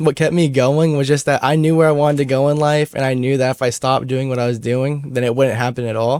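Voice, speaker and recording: A man with an ordinary speaking voice and fairly high pitch talks at a fairly quick pace. He takes hardly any pauses, and his pitch variation is ordinary. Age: young. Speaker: content creator. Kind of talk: casual chat.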